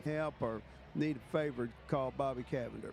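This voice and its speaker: With a Texan accent, a man speaks at a moderate pace with fairly even intonation. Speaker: parade commentator. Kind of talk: live commentary.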